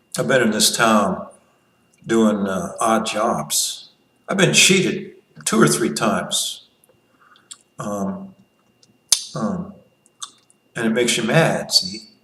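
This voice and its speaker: In a room with audible echo, a man speaks at a very slow pace and a medium pitch, his pitch swinging very widely between long, frequent pauses. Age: 60s. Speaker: libertarian commentator. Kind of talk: casual monologue. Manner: halting, with many restarts.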